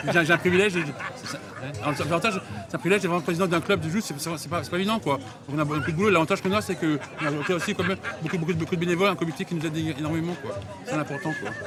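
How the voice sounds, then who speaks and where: A man with a high-pitched voice talks at a very fast pace with ordinary pitch variation over noticeable background noise. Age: 50s. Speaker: sports club president. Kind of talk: casual interview.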